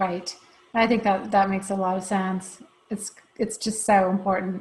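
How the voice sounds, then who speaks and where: At a moderate pace, a woman with an American accent speaks at medium pitch, somewhat breathy and monotone with flat intonation. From outside the US. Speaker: company CEO and host. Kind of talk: interview.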